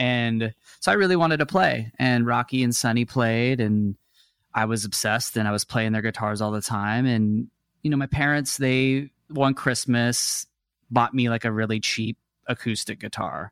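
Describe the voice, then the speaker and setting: This man has an ordinary speaking voice with an American accent, a medium pitch, ordinary pitch variation and a moderate pace. The recording is very clean, with a silent background and a dry, close sound with no echo. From Texas (Dallas area), then Seattle from about age ten. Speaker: musician, guitarist. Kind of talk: casual interview chat.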